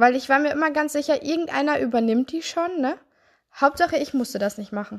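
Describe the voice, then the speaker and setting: A woman with a high voice talks fairly quickly, her pitch varying in an ordinary way. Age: 20s. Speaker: health coach and therapist podcaster. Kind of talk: solo podcast monologue.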